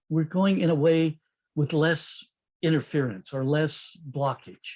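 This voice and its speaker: A man with an ordinary speaking voice, fairly high pitch, ordinary pitch variation and a fairly slow pace. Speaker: software development coach and speaker. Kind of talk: conference talk over video call.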